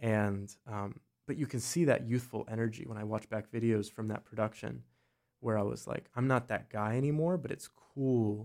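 A man with an American accent and an unremarkable speaking voice, medium in pitch with ordinary pitch variation, at a moderate pace. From US, south-central Pennsylvania (Gettysburg area). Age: 20s. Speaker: actor, comedian and musician. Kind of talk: casual chat.

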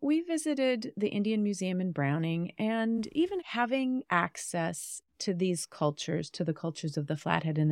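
An unremarkable speaking voice with an American accent, moderate pace and lively intonation, in a very clean recording with a silent background. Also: woman. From US West, western Montana. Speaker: food podcast co-host. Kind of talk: casual chat.

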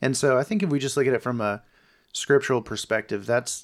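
A man's normal speaking voice, medium in pitch with ordinary pitch variation and a fairly quick pace, in a very clean recording with a silent background. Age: 30s. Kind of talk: casual faith-based business chat.

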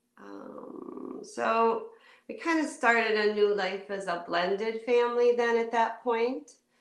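With lively intonation and a fairly high pitch, a woman talks very slowly in a room with audible echo. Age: 50s. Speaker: parent of estranged adult children. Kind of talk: interview about personal experience.

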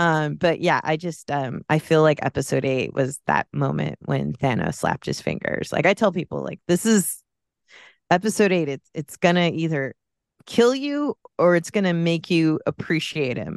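A woman at a moderate pace, with a dry, close sound, no echo and a quiet background. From US, Mexican-American family. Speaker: podcast guest. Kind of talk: casual chat.

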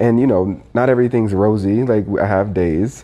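This man has an American accent and a fairly low pitch. His tone is dark and mellow, his intonation fairly even. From US Midwest, Indiana. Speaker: corporate employee at a sportswear brand. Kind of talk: casual interview.

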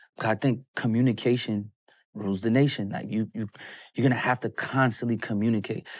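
This man's voice sits at a medium pitch, and his intonation stays fairly even. He talks at a fairly quick pace in a very clean recording with a silent background. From Brooklyn, New York. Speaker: DJ. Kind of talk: casual interview chat.

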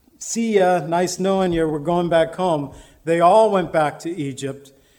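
The speech comes at a fairly slow pace with fairly even intonation and audible room echo. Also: man. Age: 50s. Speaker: pastor. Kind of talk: sermon.

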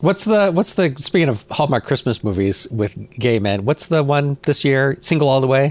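A man speaks in a plain, everyday voice, fairly high in pitch, at a moderate pace with hardly any pauses. The recording is very clean, with a silent background. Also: very even loudness. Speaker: podcast co-host. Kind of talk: casual chat.

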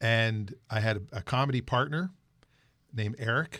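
Recorded very cleanly against a silent background, a man talks in a normal speaking voice at medium pitch, with ordinary pitch variation. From Pittsburgh area, US. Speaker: stand-up comedian. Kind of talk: casual chat.

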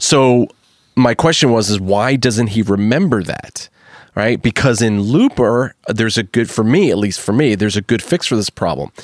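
A man speaks in a plain, everyday voice at medium pitch and a moderate pace, with ordinary pitch variation and a dry, close sound with no echo. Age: 40s. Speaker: minister and podcast host. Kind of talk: casual chat. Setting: studio.

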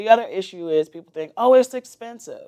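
An animated tone in a very clean recording with a silent background. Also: woman. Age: 50s. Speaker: entrepreneur and forex trader. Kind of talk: interview.

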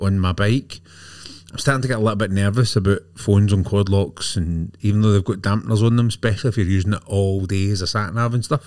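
In a very clean recording with a silent background, a man with a Scottish accent speaks at a fairly quick pace and a fairly low pitch. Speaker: podcast host. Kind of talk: casual chat.

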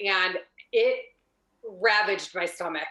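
A woman with a Midwestern US accent and a fairly high pitch. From Ohio. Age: 40s. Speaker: small business owner, diabetes patient. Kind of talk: interview, personal story.

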